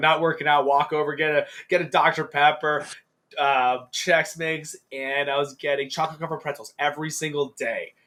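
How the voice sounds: At a moderate pace, a man talks with a bright, sharp tone and a fairly high pitch. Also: fairly even intonation.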